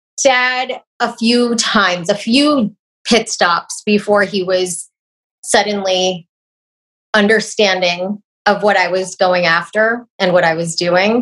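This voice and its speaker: Speaking at a very slow pace with long, frequent pauses, a woman with an American accent uses a medium pitch and ordinary pitch variation. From New York (Jamaica, Queens; later Dutchess County). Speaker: TV journalist. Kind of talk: interview.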